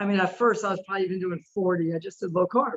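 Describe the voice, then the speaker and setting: Her voice is an unremarkable speaking voice, sitting at a medium pitch and varying in an ordinary way. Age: 60s. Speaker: carnivore diet follower. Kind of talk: interview.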